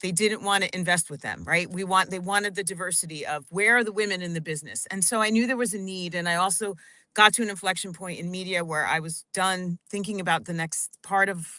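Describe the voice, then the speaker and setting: A woman at medium pitch with a bright, sharp tone, a very fast pace and fairly even intonation against a quiet background. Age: 50s. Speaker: financial advisor. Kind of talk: radio interview.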